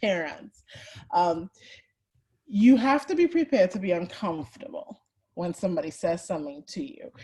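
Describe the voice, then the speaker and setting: With a Trinidadian accent, a woman of medium pitch speaks at a moderate pace, somewhat breathy, her pitch swinging very widely. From Trinidad and Tobago. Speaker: HR and people analytics executive. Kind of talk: webinar presentation. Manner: conversational.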